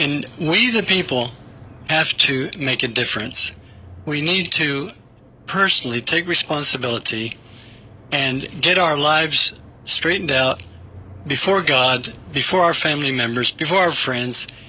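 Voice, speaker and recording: Noticeable background noise sits behind a man with a fairly high voice and ordinary pitch variation. He speaks at a fairly slow pace, with long, frequent pauses. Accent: Southern US. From Tennessee. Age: 70s. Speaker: pastor and war veteran. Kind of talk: radio interview. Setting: radio studio.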